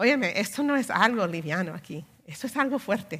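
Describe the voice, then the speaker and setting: A woman's bright, sharp tone in a very clean recording with a silent background. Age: 50s. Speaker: preacher. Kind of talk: sermon.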